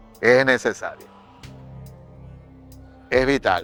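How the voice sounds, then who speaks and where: Music plays in the background as a man speaks. His voice sits at medium pitch and moves at a fairly slow pace. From Maracaibo, Venezuela. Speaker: actor, director and playwright. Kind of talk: interview answer.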